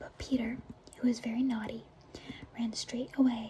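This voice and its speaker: Noticeable background noise surrounds a soft-spoken voice. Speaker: ASMR creator. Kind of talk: bedtime story reading.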